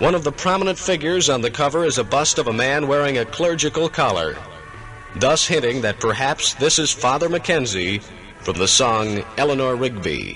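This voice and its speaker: Music plays in the background as a man talks with lively intonation, a fairly high pitch and very even loudness. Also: moderate pace. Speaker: radio DJ narrator. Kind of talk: radio docu-drama narration. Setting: 1969 AM radio broadcast.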